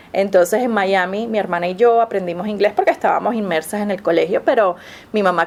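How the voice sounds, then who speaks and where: Over noticeable background noise, a woman talks at a fairly quick pace in a medium pitch with ordinary pitch variation. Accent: Venezuelan. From Venezuela, Caracas. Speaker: Spanish professor. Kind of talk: interview. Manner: halting, with frequent fillers and repetitions.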